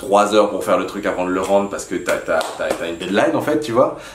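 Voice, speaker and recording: The speech comes at a very fast pace, with audible room echo and noticeable background noise. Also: man. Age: 20s. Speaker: YouTuber giving business and productivity advice. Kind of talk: casual talk to camera. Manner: animated; halting with repetitions.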